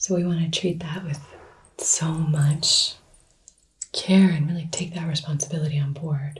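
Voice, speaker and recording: Soft-spoken and very deep in pitch, a woman talks at a fairly slow pace with monotone, flat intonation. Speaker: Reiki teacher. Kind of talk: instructional tutorial.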